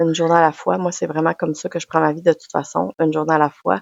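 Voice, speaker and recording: With a Quebec accent, a woman talks at a fairly low pitch with ordinary pitch variation. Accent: Québécois French. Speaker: podcaster, personal development coach. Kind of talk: personal testimony monologue.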